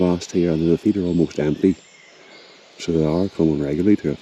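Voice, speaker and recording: Noticeable background noise sits behind speech with fairly even intonation. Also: man. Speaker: wildlife photographer. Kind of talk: vlog narration. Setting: outdoors in a forest. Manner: quiet.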